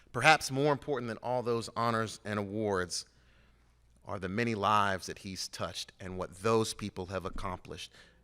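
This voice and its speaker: Over a very clean recording with a silent background, a man speaks at a moderate pace with a bright, sharp tone, a fairly low pitch and ordinary pitch variation. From Cincinnati, Ohio, US Midwest. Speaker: award presenter, physician. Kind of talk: award introduction speech. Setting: stage with audience.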